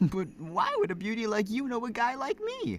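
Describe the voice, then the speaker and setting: A man performs a put-on character voice. It is raised and projected, at a high pitch. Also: moderate pace. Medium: game stream. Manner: jovial, laid-back.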